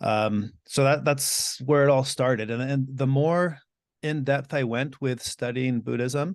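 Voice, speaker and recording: Against a quiet background, a man with an American accent and an unremarkable speaking voice talks fairly slowly at a medium pitch with fairly even intonation. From US and Mexico (bilingual, teens in Mexico). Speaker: Buddhist teacher and podcaster. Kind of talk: interview conversation.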